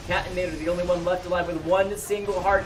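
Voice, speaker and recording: The tone is excited. Noticeable background noise runs underneath. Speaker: esports shoutcaster. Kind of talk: live game commentary. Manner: fast, excited.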